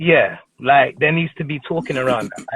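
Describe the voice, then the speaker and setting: A man speaks with a London accent at a moderate pace. His pitch varies in an ordinary way. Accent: London multicultural English. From northwest London. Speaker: TV presenter. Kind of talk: casual chat. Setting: live stream.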